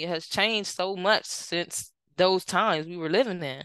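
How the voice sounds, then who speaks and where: At a moderate pace, a woman with an American accent speaks at a medium pitch with ordinary pitch variation. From Washington DC area. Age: 30s. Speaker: author and children's advocate. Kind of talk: casual interview.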